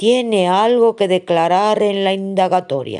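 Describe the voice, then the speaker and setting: A female-sounding put-on character voice at a medium pitch and moderate pace. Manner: serious.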